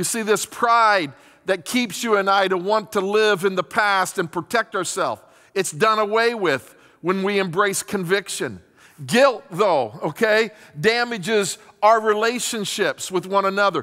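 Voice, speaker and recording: A man's raised, projected voice at a fairly slow pace with ordinary pitch variation, over a quiet background. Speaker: pastor. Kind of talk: sermon. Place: stage. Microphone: headset.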